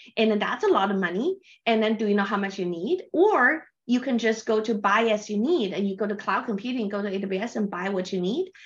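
At a fairly quick pace, a woman with a Chinese accent speaks in a fairly high pitch with ordinary pitch variation. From China. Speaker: tech business development leader. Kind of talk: interview. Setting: video call.

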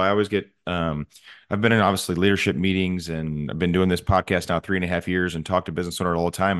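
Very fast and very deep in pitch, a man talks with an American accent and fairly even intonation. The background is quiet. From Missouri. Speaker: podcast host. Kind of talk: interview.

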